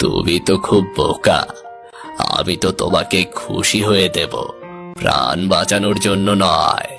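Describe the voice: Over clear background music, a man uses a cartoonish character voice at a very slow pace.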